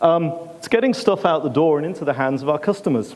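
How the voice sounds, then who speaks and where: Pitched fairly high, a man with an English accent talks at a very fast pace with lively intonation. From England. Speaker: conference speaker, ex-military. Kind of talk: conference talk. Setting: stage with audience. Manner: animated.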